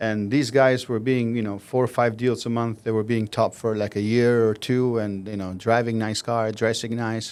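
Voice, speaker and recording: On a very clean recording with a silent background, a man speaks in a flat monotone with hardly any pauses. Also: medium pitch for a man, moderate pace. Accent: Albanian. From Albania. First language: Albanian. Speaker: mortgage loan officer. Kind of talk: podcast interview.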